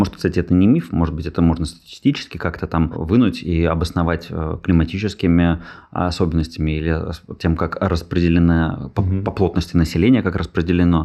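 Against a quiet background, a man with a very deep, low voice and a dark, mellow tone talks at a fairly quick pace with fairly even intonation. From Russia, Saint Petersburg. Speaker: podcast host. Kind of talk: casual chat.

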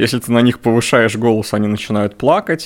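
Very fast speech comes from a man at medium pitch. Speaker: math teacher. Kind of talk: casual interview. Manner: loud.

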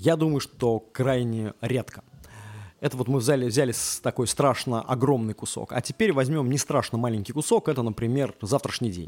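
This man's voice sits at a medium pitch with ordinary pitch variation and a dry, close sound free of echo. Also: moderate pace. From Russia. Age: 30s. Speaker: podcast host. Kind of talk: casual monologue. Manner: halting, with many filler sounds.

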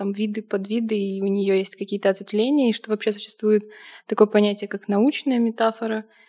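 A woman speaks at a moderate pace with a fairly high pitch and flat, monotone intonation. The recording is very clean, with a silent background. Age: 20s. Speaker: university student. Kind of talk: casual chat.

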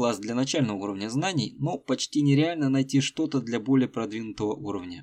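The man's tone is dark and mellow, and the background is quiet. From Russia, Tolyatti. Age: middle-aged. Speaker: podcast host, Russian teacher. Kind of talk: scripted narration for learners. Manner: slow, clear.

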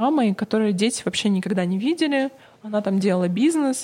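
Somewhat breathy with a dark, mellow tone, a woman's fairly high pitch rises and falls in lively intonation. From Russia, Novosibirsk. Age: 40s. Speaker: PR agency founder. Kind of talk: interview.

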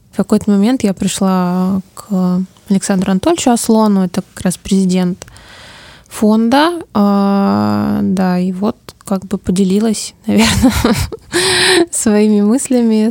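A woman at a medium pitch speaks very slowly with long, frequent pauses and fairly even intonation, in a dry, close sound with no echo. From Siberia, Omsk. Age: 30s. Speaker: social researcher. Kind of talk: interview. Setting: studio.

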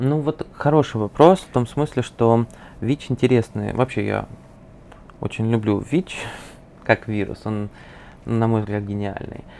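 A man's dark, mellow voice at a medium pitch, fairly slow, with long, frequent pauses, ordinary pitch variation and big swings in loudness. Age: 20s. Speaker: psychologist. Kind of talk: interview.

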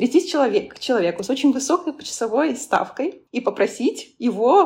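Her high-pitched voice moves through very wide pitch swings. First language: not Russian (speaking Russian). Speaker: business analytics consultant and lecturer. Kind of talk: casual interview.

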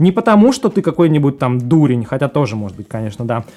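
This man's tone comes across dark and mellow. He speaks very fast. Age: 30s. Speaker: life coach. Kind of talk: casual interview.

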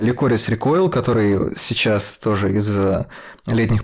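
Medium in pitch with ordinary pitch variation, a man with an unremarkable speaking voice speaks at a moderate pace. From Russia. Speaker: podcast host, film critic. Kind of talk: casual panel discussion.

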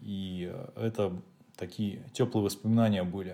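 His tone dark and mellow, a man speaks at a fairly low pitch with fairly even intonation. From Russia, Leningrad region. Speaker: host's husband. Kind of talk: casual chat.

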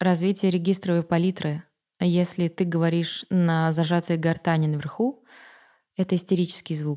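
The recording is very clean with a silent background, carrying a woman's fairly low, dark, mellow voice in a monotone, flat delivery. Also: moderate pace. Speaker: dubbing actress. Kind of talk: casual interview chat.

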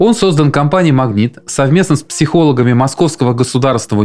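Music plays in the background as a man with a medium-pitched voice talks at a very fast pace. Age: 40s. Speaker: podcast host, fathers' council chairman. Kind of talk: interview.

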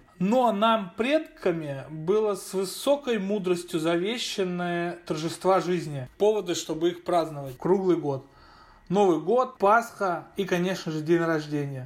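Pitch varies in an ordinary way at a fairly slow pace. The recording is very clean, with a silent background. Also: man, high pitch for a man. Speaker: chief editor of a media outlet. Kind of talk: recorded personal story.

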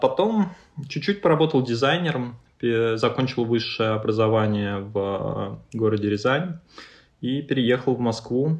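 A man has a plain, everyday voice at a medium pitch. He speaks at a fairly slow pace with lively intonation. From Russia, Ryazan. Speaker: creative agency founder. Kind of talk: interview. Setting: video call.

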